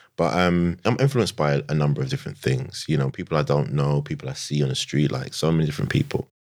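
A very deep, low-pitched man with a London accent at a very fast pace, hardly any pauses, and ordinary pitch variation. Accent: London, Multicultural London English. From London, Tottenham. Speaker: sneaker influencer and digital marketer. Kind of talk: casual interview. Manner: animated.

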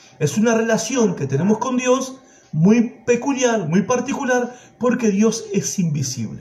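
A man with a high voice talks at a moderate pace with lively intonation. There is noticeable background noise and audible room echo. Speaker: preacher. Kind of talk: sermon.

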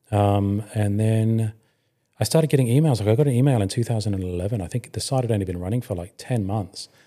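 Talking at a very fast pace, a man with a fairly low pitch and a dark, mellow tone shows ordinary pitch variation on a very clean recording with a silent background. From Hong Kong. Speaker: motoring website founder and editor. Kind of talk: interview.

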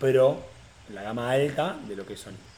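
Speaking at a fairly slow pace, a man with a fairly high pitch talks in an Argentine accent. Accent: Rioplatense Argentine Spanish. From Argentina, Tandil (Buenos Aires province). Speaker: content creator. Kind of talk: casual chat. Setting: home apartment recording.

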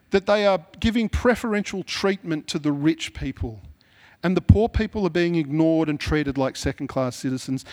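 This man's intonation is lively. The recording is very clean, and the background is silent. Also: dry, close sound with no echo. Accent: strong Australian. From Sydney, Mount Druitt (western Sydney), Australia. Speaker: pastor. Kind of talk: sermon. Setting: church. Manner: casual, conversational with fillers.

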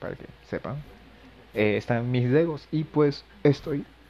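Music plays in the background as a man speaks at a fairly slow pace. His pitch varies in an ordinary way. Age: 20s. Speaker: podcaster, university physics student. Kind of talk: casual monologue. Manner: hesitant, many fillers.

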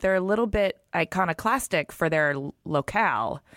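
A woman speaks at a moderate pace, her pitch swinging very widely. The recording is very clean, with a silent background. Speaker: podcast host. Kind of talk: casual interview.

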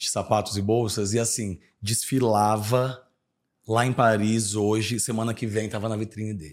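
In a very clean recording with a silent background, a man with an ordinary speaking voice talks at a fairly slow pace, his fairly low pitch held to fairly even intonation. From Brasília, Brazil. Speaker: podcast host. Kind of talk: casual chat.

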